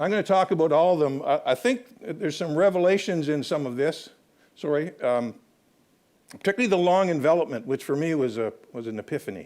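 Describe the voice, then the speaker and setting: Fairly quickly and at fairly high pitch, a man talks in an ordinary speaking voice. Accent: Canadian. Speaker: historian. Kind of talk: lecture.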